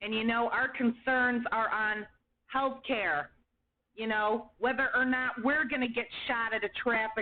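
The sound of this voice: Quiet surroundings behind an unforced reading voice of fairly even intonation.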